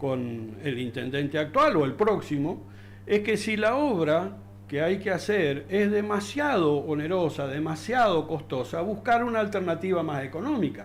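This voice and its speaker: A man speaks at a fairly slow pace with a fairly high pitch and very wide pitch swings. Audible room echo surrounds his voice. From Argentina, Río Negro (Darwin). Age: 60s. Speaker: local resident. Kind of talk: interview. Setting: studio. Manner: halting, many fillers and repetitions.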